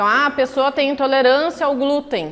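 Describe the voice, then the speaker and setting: A fairly quick, animated woman's voice, high in pitch. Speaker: professor. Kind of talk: lecture.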